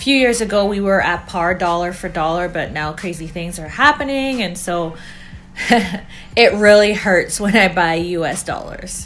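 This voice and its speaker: With music in the background and audible room echo, a woman with a Canadian accent speaks at a moderate pace and medium pitch, with ordinary pitch variation and big swings in loudness. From Canada. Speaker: couple vlogger. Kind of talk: casual chat.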